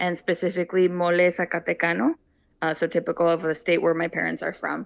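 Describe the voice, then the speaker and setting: A normal speaking voice with an American accent. The intonation is fairly even. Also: woman. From Fort Bragg, Northern California. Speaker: patient navigator. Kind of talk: interview.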